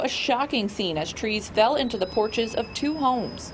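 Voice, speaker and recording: A woman speaks at a fairly quick pace in an American accent, her pitch fairly high with ordinary variation. Noticeable background noise runs underneath. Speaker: television news reporter. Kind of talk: TV news reporter stand-up and package narration. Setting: outdoors on location.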